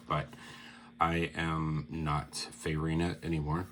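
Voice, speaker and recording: A man speaks with a very deep, low pitch and vocal fry. His intonation is fairly even. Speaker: fitness vlogger recovering from surgery. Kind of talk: personal video diary. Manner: halting, many fillers; slow, sedated.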